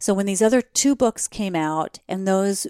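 A woman with an American accent and an unremarkable speaking voice talks at a medium pitch and a moderate pace, in a very clean recording with a silent background and a dry, close sound with no echo. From New Jersey, US. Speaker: travel expert and podcast host. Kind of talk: interview conversation.

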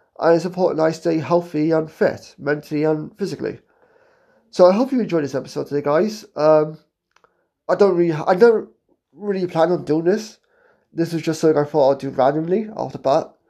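A man with a British accent talks at a fairly quick pace. His pitch is high, and his tone is dark and mellow. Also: ordinary pitch variation. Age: 20s. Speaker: podcast host. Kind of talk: casual monologue.

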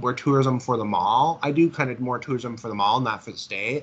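A man speaks with an Upper Midwest accent. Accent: Upper Midwest American. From Minnesota, near St. Cloud. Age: 20s. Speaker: visually impaired mall worker. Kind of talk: interview. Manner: halting, repetitive.

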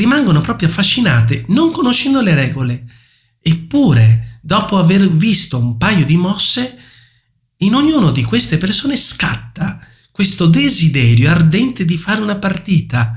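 A man talks at a high pitch and a moderate pace. His pitch swings very widely. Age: 30s. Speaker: chess player and instructor. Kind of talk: interview.

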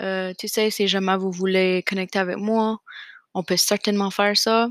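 A woman of medium pitch speaks fairly slowly with fairly even intonation, the sound dry and close with no echo on a very clean recording with a silent background. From Acadian New Brunswick, Canada (Fredericton). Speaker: podcast host, graduate student. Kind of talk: casual solo monologue. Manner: hesitant, many fillers.

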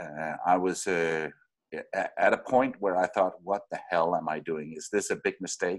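Speaking at a fairly slow pace, a man talks with a Danish accent. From Denmark. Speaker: radio producer and podcaster. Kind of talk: casual interview. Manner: halting, many repetitions.

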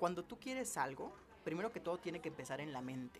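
A man with a plain, everyday voice, fairly high in pitch, lively in intonation and fairly quick in pace. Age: 20s. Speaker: chemical engineer and youth career coach. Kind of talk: interview.

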